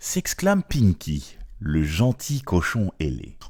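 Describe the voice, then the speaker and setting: A man puts on a character voice at a fairly slow pace. The recording is very clean, with a silent background. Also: fairly low pitch for a man. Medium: read story.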